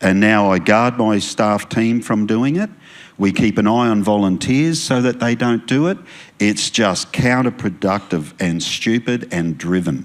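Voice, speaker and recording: A man with an Australian accent speaks at a fairly low pitch and a fairly slow pace. His loudness stays very even, with ordinary pitch variation. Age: 60s. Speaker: pastor. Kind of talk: marriage Q&A talk in church service.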